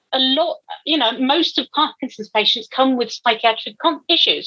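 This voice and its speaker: A woman's high-pitched, raised and projected voice with a bright, sharp tone, lively intonation, moderate pace and very even loudness, in a dry, close sound with no echo. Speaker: nurse educator. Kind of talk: casual interview. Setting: video call.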